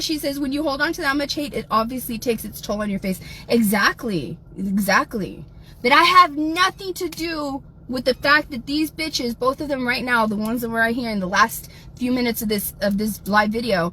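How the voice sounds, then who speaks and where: A high-pitched woman talks with lively intonation in an American accent. Noticeable background noise runs underneath. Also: moderate pace. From South Texas. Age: 40s. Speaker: livestreamer. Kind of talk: livestream chat reading.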